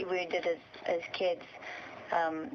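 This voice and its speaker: A woman is talking. Noticeable background noise is present. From Portugal. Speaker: singer-songwriter. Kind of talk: interview.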